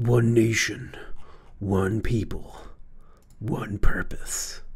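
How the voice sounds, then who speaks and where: A man performs a put-on character voice with a dramatic tone. His pitch is medium and his pace fairly slow. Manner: dramatic, epic.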